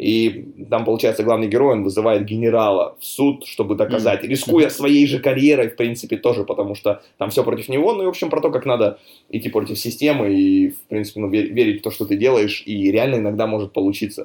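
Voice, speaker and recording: This man talks at a very fast pace with a medium pitch. His pitch varies in an ordinary way. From Russia, Chelyabinsk (Urals). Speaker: real estate broker. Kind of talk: casual interview. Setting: remote call.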